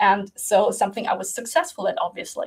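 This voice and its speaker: A woman speaks at a medium pitch, somewhat breathy. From Germany. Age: 20s. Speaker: creative coach and video creator. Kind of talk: casual monologue to camera. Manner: halting.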